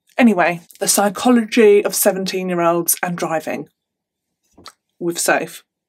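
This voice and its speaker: A woman with an English accent and an animated tone, at a fairly slow pace with ordinary pitch variation and long, frequent pauses. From England. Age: 30s. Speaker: true crime youtuber. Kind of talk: storytelling monologue to camera. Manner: chatty, animated. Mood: somber, reflective at times. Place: home room.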